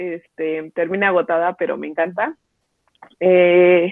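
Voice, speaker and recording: A woman speaks with a Mexico City accent. Her pitch sits in the middle range. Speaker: softball player. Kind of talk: interview. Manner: hesitant with fillers.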